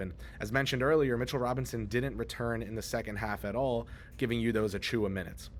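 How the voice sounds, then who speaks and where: Audible room echo surrounds a man of medium pitch who talks fairly quickly with vocal fry and ordinary pitch variation. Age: 20s. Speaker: sports reporter. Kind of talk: on-site sports news report. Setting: on-site at an arena after a game.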